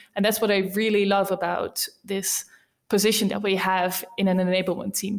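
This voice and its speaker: A woman speaks at a moderate pace in a Dutch accent, her pitch in the middle range for a woman. Her intonation stays flat and monotone. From Netherlands, Rotterdam. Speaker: sales enablement team lead. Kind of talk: interview.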